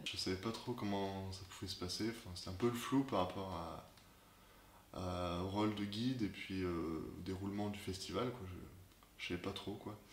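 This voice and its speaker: With audible room echo, a man speaks in a very deep, low pitch at a moderate pace and with fairly even intonation. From France, Clermont-Ferrand. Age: 20s. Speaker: student, festival volunteer guide. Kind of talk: interview. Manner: halting, repeats words.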